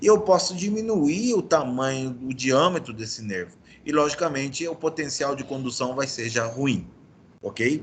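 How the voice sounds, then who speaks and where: A man's fairly high, somewhat breathy voice with lively intonation and audible room echo. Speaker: medical lecturer (orthopedics). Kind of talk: lecture. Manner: fast.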